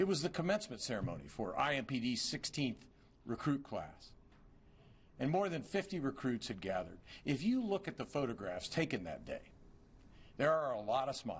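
A man's voice with vocal fry at a moderate pace, broken by long, frequent pauses. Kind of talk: formal eulogy speech. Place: hall. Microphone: podium.

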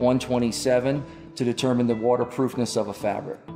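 Clear music plays behind a man as he talks. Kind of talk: corporate explainer. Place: studio. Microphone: lapel.

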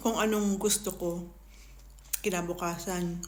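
At a fairly slow pace, a woman speaks as audible room echo follows her words. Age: 30s. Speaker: food vlogger. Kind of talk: casual eating vlog talking to viewers.

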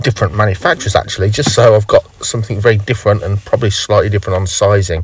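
Speaking at a very fast pace, a man has a fairly low pitch and fairly even intonation. The sound is dry with no echo, and there is light background noise. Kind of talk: tutorial. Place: car.

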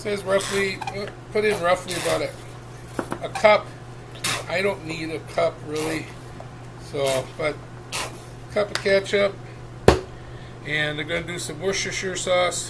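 Fairly slow speech broken by long, frequent pauses, over noticeable background noise. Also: man. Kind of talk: casual cooking tutorial. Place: kitchen. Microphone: webcam.

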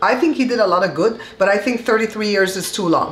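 Room echo can be heard around this voice. A woman speaks fairly quickly. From Belize. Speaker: vlogger. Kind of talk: casual talk to camera. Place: kitchen.

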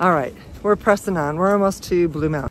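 A woman's voice with ordinary pitch variation, dry and echo-free, over light background noise. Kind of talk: casual vlog chat. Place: forest. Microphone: phone near.

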